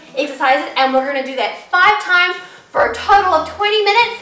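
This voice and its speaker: Audible room echo surrounds the recording. A woman speaks at a very fast pace. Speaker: fitness instructor. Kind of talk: workout tutorial intro. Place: home room.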